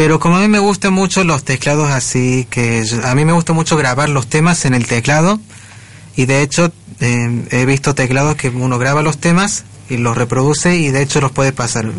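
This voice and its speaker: This man has a fairly high pitch, a moderate pace and ordinary pitch variation. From Argentina, Córdoba city. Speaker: blind musician. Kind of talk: radio interview. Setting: radio studio.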